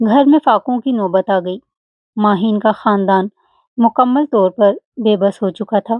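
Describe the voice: Plain reading aloud with ordinary pitch variation against a quiet background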